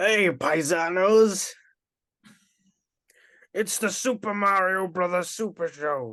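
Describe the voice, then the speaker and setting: Over a quiet background, a put-on character voice at a middle pitch speaks at a fairly slow pace with long, frequent pauses. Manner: cheery, showy.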